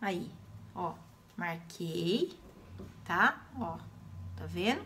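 A woman's voice over light background noise. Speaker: craft teacher. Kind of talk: tutorial. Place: home room. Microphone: phone near.

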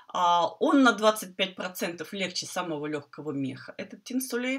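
A woman's pitch swings very widely against a quiet background. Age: 50s. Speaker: quilting teacher. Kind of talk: tutorial. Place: home room. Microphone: earbuds.

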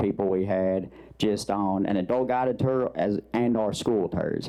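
With ordinary pitch variation, the man talks in a fairly low register. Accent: Southern Arkansas. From Arkansas, Mississippi Delta region. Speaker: museum director. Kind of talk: public meeting remarks. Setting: county commission meeting.

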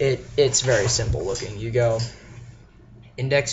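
The speech is very slow and somewhat breathy. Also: man. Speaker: guitar teacher. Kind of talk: casual guitar tutorial to camera. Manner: casual, joking.

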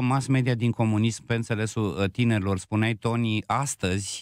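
A man speaks in an ordinary speaking voice, fairly low in pitch, with ordinary pitch variation at a moderate pace. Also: quiet background, dry sound with no echo. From Bucharest, Romania. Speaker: radio host. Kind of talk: casual chat. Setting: studio. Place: studio. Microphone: studio mic.

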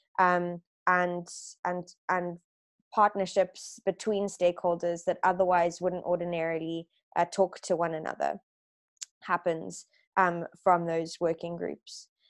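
A woman's fairly low voice at a fairly slow pace, monotone and flat, with long, frequent pauses over a quiet background. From South Africa. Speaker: circular economy network manager; webinar presenter. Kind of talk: expert presentation. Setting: video call. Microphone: video call.

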